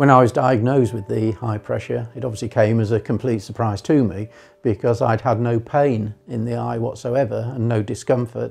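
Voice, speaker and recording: Vocal fry over fairly even intonation. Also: man, medium pitch for a man, moderate pace, hardly any pauses. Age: 60s. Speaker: patient giving testimonial. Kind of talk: testimony. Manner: halting, many fillers.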